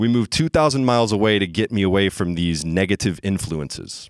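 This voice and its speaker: On a very clean recording with a silent background, a man with an American accent talks in an ordinary speaking voice at a moderate pace, fairly low in pitch with ordinary pitch variation. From US South (Bible Belt). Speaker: storyteller. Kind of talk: live storytelling. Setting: stage with audience.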